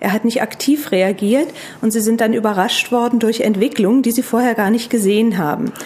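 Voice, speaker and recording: Very even loudness and fairly even intonation against noticeable background noise. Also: woman, fairly high pitch for a woman, fairly quick pace. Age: 40s. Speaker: tax advisor. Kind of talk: expert interview.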